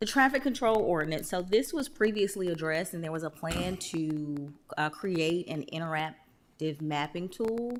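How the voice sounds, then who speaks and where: Speaking with an ordinary speaking voice, a woman keeps a moderate pace and fairly low pitch, her lively intonation running with hardly any pauses. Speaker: town staff presenter. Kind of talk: council presentation.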